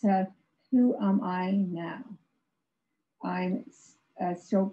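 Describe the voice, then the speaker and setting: A woman speaks at a very slow pace, somewhat breathy. She leaves long, frequent pauses. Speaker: stroke survivor and author, former professor. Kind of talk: prepared personal testimony presentation. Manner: halting, effortful speech due to aphasia. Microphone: video call.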